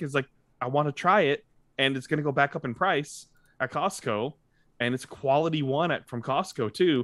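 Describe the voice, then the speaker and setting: Against a quiet background, a man with an American accent talks with ordinary pitch variation in a dry sound with no echo. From Tennessee, US South. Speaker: podcast host. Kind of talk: casual chat. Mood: relaxed, amused. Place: home room. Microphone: studio mic.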